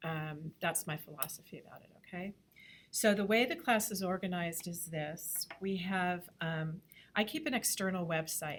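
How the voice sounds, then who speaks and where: A woman's plain, everyday voice, fairly low in pitch, at a moderate pace with big swings in loudness. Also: ordinary pitch variation. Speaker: graphic design instructor. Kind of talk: lecture. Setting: classroom.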